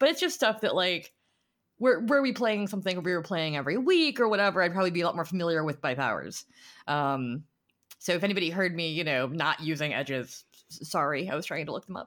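A woman speaks in an animated tone at a very fast pace. Her intonation is lively. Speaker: tabletop game player and podcast co-host. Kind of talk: casual chat. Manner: joking, animated.

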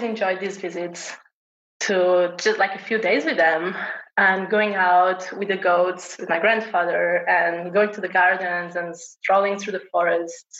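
A woman speaks with a Portuguese accent at a fairly slow pace. Her pitch sits in the medium range. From Portugal. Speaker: homesteader and knitter. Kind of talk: casual chat.

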